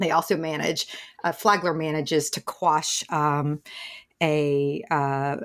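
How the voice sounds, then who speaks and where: A Southern accent with ordinary pitch variation. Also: woman. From US South, East Tennessee. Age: middle-aged. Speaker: journalism professor. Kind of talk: interview.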